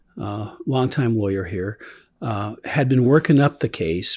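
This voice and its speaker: The speaker is a man with a medium pitch and a somewhat breathy voice. The recording is very clean, with a silent background. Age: 70s. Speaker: lawyer, organization co-founder. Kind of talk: casual chat. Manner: halting, many fillers.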